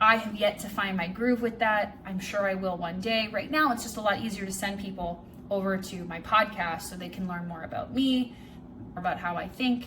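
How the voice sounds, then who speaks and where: A moderate pace, ordinary pitch variation, music in the background and audible room echo. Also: woman, medium pitch for a woman. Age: 30s. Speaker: vlogger and life coach. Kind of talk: casual vlog monologue. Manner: rambling; stuttering at times.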